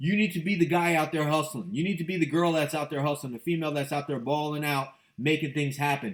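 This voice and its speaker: A man with a fairly high pitch rattles along very fast in an animated tone, with hardly any pauses. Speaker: real estate investor and motivational show host. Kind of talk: motivational monologue.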